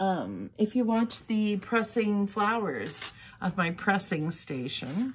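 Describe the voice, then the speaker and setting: Very slow, somewhat breathy mumbling with lively intonation, on a very clean recording with a silent background. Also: woman. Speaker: crafting video host. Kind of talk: tutorial. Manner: halting.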